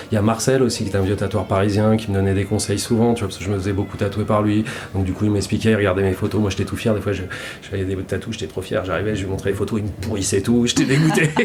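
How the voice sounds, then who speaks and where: A man with a fairly low pitch and fairly even intonation at a very fast pace, over noticeable background noise. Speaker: tattoo artist. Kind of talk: casual interview. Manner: halting, many repetitions.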